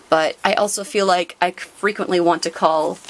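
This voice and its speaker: A woman speaks over noticeable background noise. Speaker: trading card unboxing youtuber. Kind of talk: casual chat. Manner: fast; animated.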